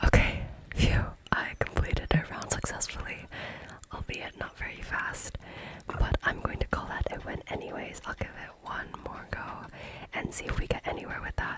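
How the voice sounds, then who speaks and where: Whispering at a moderate pace, a woman's voice rises and falls sharply in loudness against noticeable background noise. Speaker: ASMR creator and YouTuber. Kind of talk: ASMR tutorial / gameplay narration. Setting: home studio with condenser microphone, some background noise. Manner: whispered, soft-spoken.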